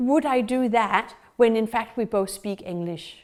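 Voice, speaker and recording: A woman speaks at a fairly slow pace with a Danish accent. Her intonation is lively. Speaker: dog trainer. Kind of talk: tutorial.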